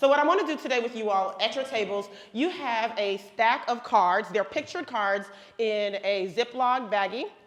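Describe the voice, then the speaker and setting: Amid noticeable background noise, a woman with a fairly high pitch speaks at a moderate pace in an animated tone with ordinary pitch variation. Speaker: education speaker / trainer. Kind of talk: workshop presentation.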